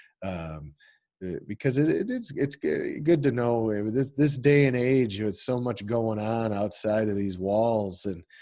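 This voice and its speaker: Speaking at a fairly slow pace, a man has a dark, mellow tone and ordinary pitch variation. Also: medium pitch for a man. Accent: Midwestern US. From northern Illinois, Rockford area. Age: 40s. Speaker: college instructor. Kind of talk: online class lecture. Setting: video call. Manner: halting, many repetitions and fillers.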